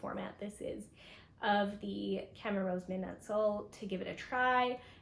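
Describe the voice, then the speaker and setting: Audible room echo surrounds a woman who speaks at a very slow pace, with medium pitch and fairly even intonation. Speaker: knitter and pattern designer vlogger. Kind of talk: casual vlog talk to camera.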